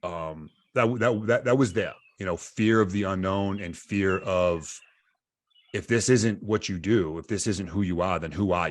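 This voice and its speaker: In a very clean recording with a silent background, a man speaks at a fairly slow pace with a fairly low pitch, ordinary pitch variation, and an ordinary speaking voice. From Massachusetts. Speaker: Special Forces soldier. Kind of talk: interview answer.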